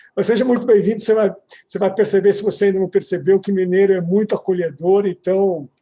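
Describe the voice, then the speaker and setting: At a very fast pace, a man speaks with a high pitch, a dark, mellow tone, and fairly even intonation. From São Paulo city, Brazil. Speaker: lawyer, commission president and event host. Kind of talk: panel event moderation. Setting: live online event.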